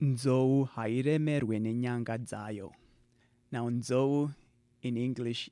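A man with a Zimbabwean accent speaks at a medium pitch, his tone dark and mellow and his intonation fairly even. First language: Shona. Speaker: writer and panelist. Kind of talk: interview.

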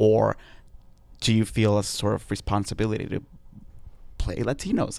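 The very clean recording, with a silent background, captures a man speaking at a fairly low pitch. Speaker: podcast host. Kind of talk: interview. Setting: on a theater stage.

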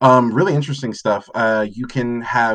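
Against a quiet background, a man with medium pitch talks at a moderate pace in an unremarkable speaking voice. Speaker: former editor, guest writer.

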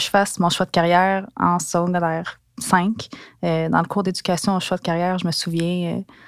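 A woman's flat, monotone delivery at a medium pitch and moderate pace, with a Quebec accent and music in the background. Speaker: former sports journalist. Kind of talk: personal storytelling. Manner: casual, with hesitations.

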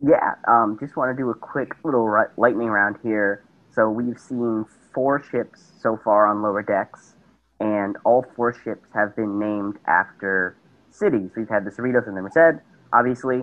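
At a moderate pace, a man with medium pitch and fairly even intonation speaks in an unremarkable speaking voice. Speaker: caller. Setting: video call.

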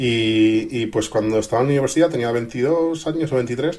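A man talks at a medium pitch with ordinary pitch variation. He has a plain, everyday voice. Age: 30s. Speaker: tech blogger and youtuber. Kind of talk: interview.

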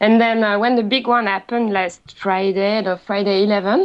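A woman speaks in a French accent. Her pitch is medium and her pace is moderate. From France. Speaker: office worker living in Japan. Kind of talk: casual panel discussion. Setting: online call.

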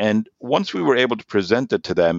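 Speaking at a moderate pace in a German accent, a man uses a fairly low pitch and lively intonation. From Germany and Norway. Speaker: sales executive. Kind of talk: interview. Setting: remote call.

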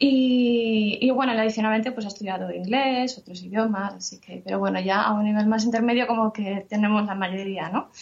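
A woman's fairly high voice at a fairly quick pace, with fairly even intonation, hardly any pauses, and noticeable background noise. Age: 30s. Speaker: translator and mother. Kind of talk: interview.

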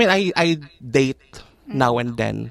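Here a woman is talking. She goes at a very slow pace. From Philippines, Makati. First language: Tagalog. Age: 30s. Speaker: hairdresser and makeup artist. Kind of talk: interview, casual Taglish chat. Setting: studio.

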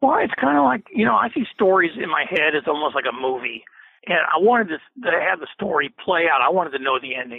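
With lively intonation and a fairly quick pace, a man speaks in an ordinary speaking voice at a fairly high pitch. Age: 50s. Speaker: author. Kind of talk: interview.

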